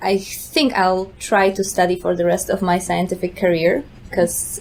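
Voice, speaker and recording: A woman speaks with a Polish accent. Noticeable background noise is present. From Poland. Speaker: neuroscience postdoc. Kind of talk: podcast interview.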